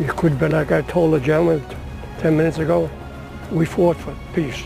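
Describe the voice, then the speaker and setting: Music plays in the background as a man with a fairly high pitch talks at a moderate pace. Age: 80s+. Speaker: WWII Navy veteran. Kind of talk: interview answer. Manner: casual, rambling.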